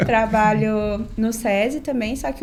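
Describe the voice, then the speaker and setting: A woman's fairly high voice, a plain, everyday voice, at a fairly slow pace with ordinary pitch variation. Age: 30s. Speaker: doctor. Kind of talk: podcast interview.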